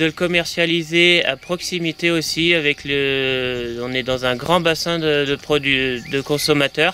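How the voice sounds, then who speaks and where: A man's fairly high voice at a very slow pace, hardly any pauses, fairly even intonation, and noticeable background noise. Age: 30s. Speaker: dairy farmer. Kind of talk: interview testimony. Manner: hesitant, many fillers.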